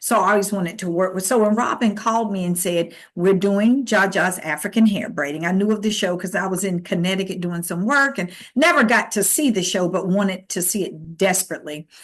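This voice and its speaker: A woman with an ordinary speaking voice and an American accent, medium pitch with ordinary variation, fairly quick pace, hardly any pauses. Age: 60s. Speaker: theatre director. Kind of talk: interview.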